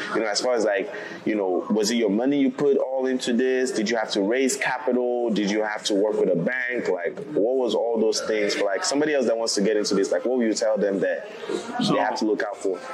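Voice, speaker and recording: A man at medium pitch, fairly quick pace, audible room echo and noticeable background noise. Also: ordinary pitch variation, very even loudness. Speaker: podcast host. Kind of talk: casual chat. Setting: in a lounge, recorded in person.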